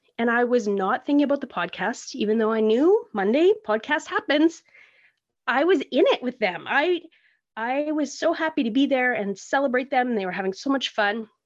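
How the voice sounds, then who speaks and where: Over a quiet background, a woman with a Canadian accent speaks at a high pitch. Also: lively intonation, moderate pace. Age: 40s. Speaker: podcast host. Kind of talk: casual solo monologue. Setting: home art room.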